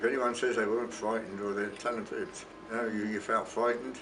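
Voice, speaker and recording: A man's medium-pitched voice in a southern English accent at a very fast pace, flat and monotone, with audible room echo and noticeable background noise. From southern England, Portsmouth. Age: 90s. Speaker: war veteran. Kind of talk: testimony. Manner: halting.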